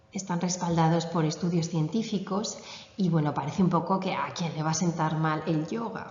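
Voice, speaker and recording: In a room with audible echo, a woman speaks fairly slowly with a fairly low pitch and fairly even intonation. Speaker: yoga teacher. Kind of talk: conference talk.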